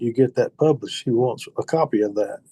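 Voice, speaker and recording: A man speaks with a medium pitch and a dark, mellow tone, somewhat breathy. The pace is moderate, and the sound is dry and close with no echo. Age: 60s. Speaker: outdoor writer and turkey hunter. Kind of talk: casual interview chat.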